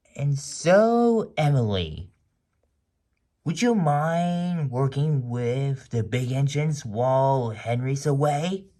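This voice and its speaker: Putting on a character voice, a man speaks fairly high and at a very slow pace. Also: very clean recording, silent background. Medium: read story. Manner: fatherly, authoritative.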